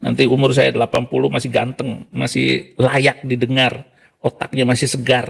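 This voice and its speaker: Keeping his loudness very even, a man speaks at a moderate pace. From Indonesia. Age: 60s. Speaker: Quran memorizer turned religion critic. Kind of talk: casual chat.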